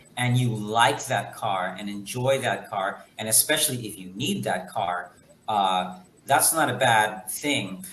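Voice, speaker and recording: Audible room echo and noticeable background noise surround the recording. A man with an American accent speaks at a fairly slow pace. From United States, Guatemalan family. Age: 40s. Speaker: guest on a talk show. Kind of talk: casual chat. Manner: halting.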